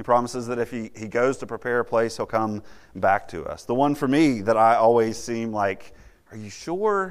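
This man has an unremarkable speaking voice at a medium pitch and moderate pace. Pitch variation is ordinary, but the loudness swings a lot. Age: 30s. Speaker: campus minister. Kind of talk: sermon.

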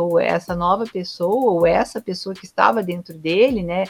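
A woman's voice with ordinary pitch variation. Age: 50s. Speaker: art teacher. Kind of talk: casual chat. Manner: halting.

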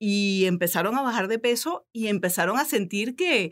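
In a very clean recording with a silent background, a woman's intonation sounds lively. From Venezuela. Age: 40s. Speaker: belly dancer and media communicator. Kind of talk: interview. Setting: studio.

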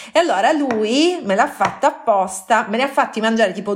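A woman's pitch swings very widely as she speaks at a moderate pace amid noticeable background noise. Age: 30s. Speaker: food blogger. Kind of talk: casual chat.

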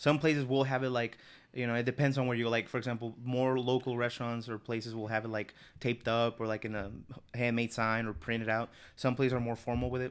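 Rushing at a very fast pace, a man with a Spanish accent and medium pitch speaks in a monotone, flat intonation. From Mexico. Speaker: podcast guest. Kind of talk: casual chat. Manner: quiet; halting.

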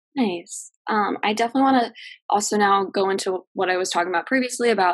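Talking fairly quickly, a woman uses an unremarkable speaking voice with ordinary pitch variation. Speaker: student podcast host. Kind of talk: casual interview chat. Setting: video call.

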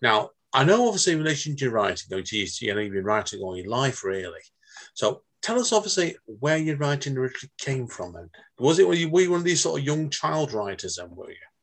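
A man speaks very fast at a fairly high pitch. His voice has very wide pitch swings and big swings in loudness. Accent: Manchester. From northern England. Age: 40s. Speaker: podcast host. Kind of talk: casual interview. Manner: animated.

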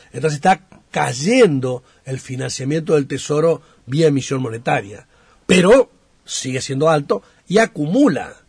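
The man's voice is fairly high and somewhat breathy. He speaks at a fairly slow pace with lively intonation. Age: 50s. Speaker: national congressman. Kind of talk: radio interview. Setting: radio studio.

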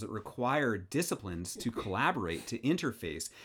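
An unremarkable speaking voice with lively intonation moves at a moderate pace on a very clean recording with a silent background. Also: man. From US Pacific Northwest, Seattle. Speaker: engineering professor and dean. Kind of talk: casual interview. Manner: repeats words when starting sentences.

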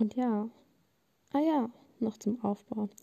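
A woman's fairly high, somewhat breathy voice with a dark, mellow tone, in a dry, close sound with no echo. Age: 20s. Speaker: podcast host, media management student. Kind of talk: casual monologue, unscripted. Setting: home, on bed under a blanket. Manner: spontaneous, talkative.

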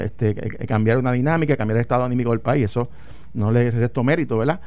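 A man uses a normal speaking voice at a medium pitch, and his pitch shifts in an ordinary way. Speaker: former legislator and political commentator. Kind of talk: radio talk show discussion. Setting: radio studio.

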